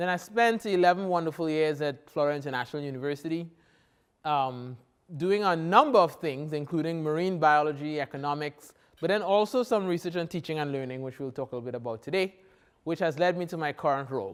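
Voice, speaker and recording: A man's very fast speech in a strong Trinidadian accent, fairly high in pitch. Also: ordinary pitch variation. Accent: thick Trinidadian. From Trinidad and Tobago. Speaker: professor. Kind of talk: keynote lecture.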